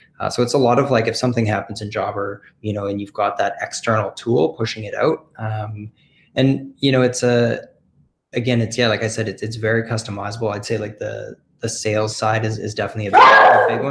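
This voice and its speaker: The speaker has a plain, everyday voice in a Canadian accent. The pace is fairly quick and the intonation fairly even. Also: man, medium pitch for a man. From Canada. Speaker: software company representative. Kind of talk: casual interview.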